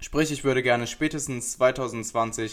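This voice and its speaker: A man's medium-pitched, plain, everyday voice, fairly even in intonation, on a very clean recording with a silent background. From Essen, Germany. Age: 20s. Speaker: podcast host and online personal trainer. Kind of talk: solo podcast introduction.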